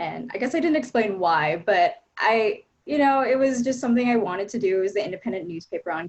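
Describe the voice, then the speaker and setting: A woman's voice with very wide pitch swings. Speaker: education reporter. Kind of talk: panel discussion.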